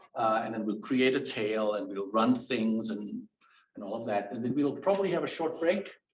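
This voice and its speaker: The man talks at a moderate pace with a slight German accent. His pitch swings very widely. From Germany. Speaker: professor. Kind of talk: tutorial. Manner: hesitant, many fillers.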